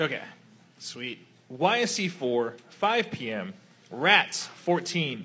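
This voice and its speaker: Very slow and broken by long, frequent pauses, a man's fairly high, bright, sharp voice carries vocal fry and very wide pitch swings. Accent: American. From Texas. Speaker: kickball podcast host. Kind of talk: casual chat. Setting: live in a bar with audience.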